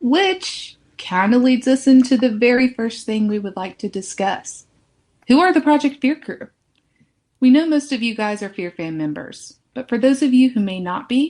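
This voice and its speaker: A woman with an American accent talks at a moderate pace in a high pitch, her intonation lively. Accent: Southern accent, toned down now. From US South, near Charlotte, North Carolina. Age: 20s. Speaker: podcast co-host. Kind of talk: scripted intro, then casual chat.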